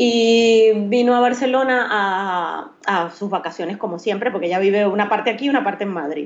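A plain, everyday voice from a woman, medium in pitch, with ordinary pitch variation and a fairly quick pace. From Venezuela, Maracaibo. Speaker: professional makeup artist. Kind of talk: interview.

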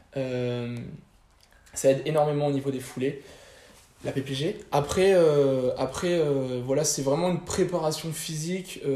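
At a very slow pace with long, frequent pauses, a man talks in a fairly high pitch with ordinary pitch variation. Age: 20s. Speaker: fitness coach. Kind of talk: interview. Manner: halting.

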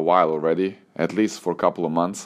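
In a Serbian accent, a man speaks with a very deep, low pitch and monotone, flat intonation. The recording is very clean, its background silent. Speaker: tennis coach and podcaster. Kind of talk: solo podcast monologue. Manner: relaxed, conversational.

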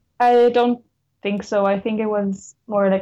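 In a German accent, a woman speaks fairly slowly with a dark, mellow tone and flat, monotone intonation. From Lower Austria. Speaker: law student. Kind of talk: interview.

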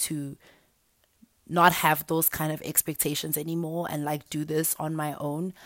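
With her pitch very deep and low, a woman talks on a very clean recording against a silent background. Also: dry, close sound with no echo. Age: 20s. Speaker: podcaster. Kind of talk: solo podcast monologue. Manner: casual, laughing often.

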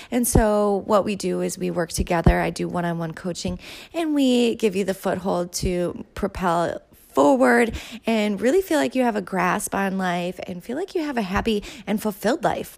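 A woman speaks with a medium pitch and lively intonation at a moderate pace. The recording is very clean, with a silent background. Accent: Upper Midwest. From southern Minnesota. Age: 30s. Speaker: yoga instructor and podcast host. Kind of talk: casual solo monologue.

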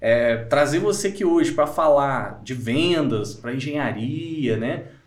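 Speaking with a strong mineiro accent, a man talks at a fairly slow pace and a fairly high pitch, with audible room echo. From Minas Gerais, Brazil. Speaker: podcast host. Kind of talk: casual interview.

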